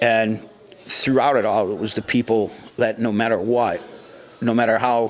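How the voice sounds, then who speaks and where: A speaker with an American accent talks at a moderate pace over noticeable background noise. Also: man. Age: 60s. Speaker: music venue doorman and musician. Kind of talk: casual interview.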